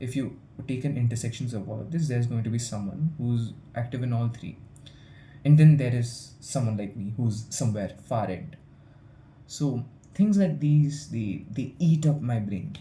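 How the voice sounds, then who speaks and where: The voice sounds somewhat breathy, with a dark, mellow tone and audible room echo. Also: man, medium pitch for a man, ordinary pitch variation, moderate pace. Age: young. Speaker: student vlogger. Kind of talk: casual vlog monologue. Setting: hostel room. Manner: halting, with fillers and repetitions.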